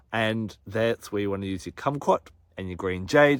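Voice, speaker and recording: An animated tone in an Australian accent, with ordinary pitch variation, on a very clean recording with a silent background. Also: man. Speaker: astrology and crystal presenter. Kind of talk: monologue forecast to camera. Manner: fast.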